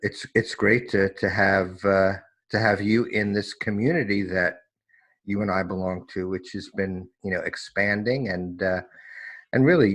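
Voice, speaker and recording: With an American accent and a normal speaking voice, a man talks at a moderate pace in a fairly low pitch over a quiet background. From New York, US. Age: 60s. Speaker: recovery specialist, former lawyer. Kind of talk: personal testimony interview. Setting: remote call.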